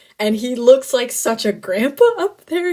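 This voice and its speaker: A woman talks in an animated tone. Her voice is somewhat breathy. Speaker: student podcaster. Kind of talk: casual solo monologue. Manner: fast.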